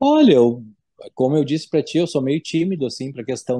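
A man talks at a fairly high pitch in a dark, mellow tone. The background is quiet. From Rio Grande do Sul, Brazil (São Leopoldo). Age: 40s. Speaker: business owner in public procurement. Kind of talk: interview testimony. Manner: halting, many fillers.

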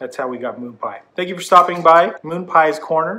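A man talks in a tone that is bright and sharp. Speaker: vlogger. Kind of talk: casual vlog storytelling. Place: home room.

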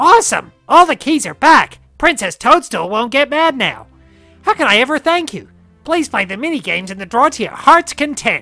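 A squeaky, high-pitched put-on character voice is raised and projected at a moderate pace, with faint music in the background. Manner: squeaky, cheerful.

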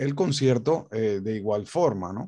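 A man at a fairly slow pace, lively in intonation, over a quiet background. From Venezuela. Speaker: guitar academy director and interviewer; interviewer. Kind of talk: interview. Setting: video call. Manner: halting. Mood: warm, respectful. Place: home room. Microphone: studio mic.

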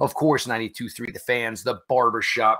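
Bright and sharp in tone, a man's voice moves at a fairly slow pace. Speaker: podcast host. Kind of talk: podcast intro commentary. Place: home room.

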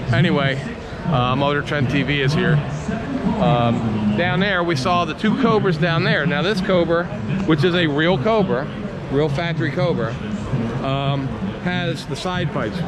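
A man at a fairly slow pace, with long, frequent pauses, ordinary pitch variation and loud background noise. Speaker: car vlogger. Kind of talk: casual vlog commentary. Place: hall. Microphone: phone near.

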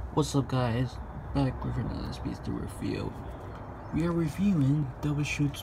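A man talks at a moderate speed, with noticeable noise audible in the background. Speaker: toy reviewer. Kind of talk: casual review commentary. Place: home room. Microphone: phone near.

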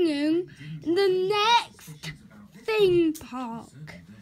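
A woman speaks very slowly at an extremely high pitch, with light background noise behind her. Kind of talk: casual gameplay commentary. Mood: playful. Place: home room. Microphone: phone near.

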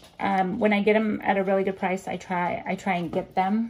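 Noticeable background noise surrounds a woman speaking with fairly even intonation. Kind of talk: casual haul vlog chat. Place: home room. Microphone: phone near.

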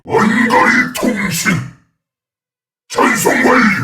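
A man does a put-on character voice that is raspy and menacing in tone, speaking at a very slow pace. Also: extremely high pitch for a man. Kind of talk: video game character voice lines. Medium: dub. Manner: menacing, commanding.

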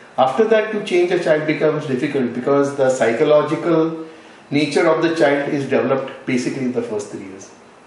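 A man speaks at a very fast pace in a fairly high pitch with ordinary pitch variation. Audible room echo surrounds his voice. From Goa, India. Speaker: NGO founder, retired sea captain. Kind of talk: interview. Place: home room.

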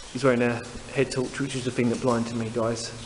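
Light background noise is present. The speaker is a man. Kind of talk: casual vlog chat. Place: tunnel cave. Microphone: phone near.

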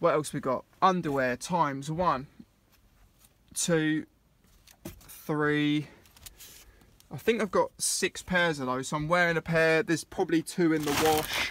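Over a very clean recording with a silent background, a man with an English accent speaks at a fairly high pitch and a fairly slow pace, using fairly even intonation and long, frequent pauses. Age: 20s. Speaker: vlogger living in a van. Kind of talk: casual video vlog tour. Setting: inside his van.

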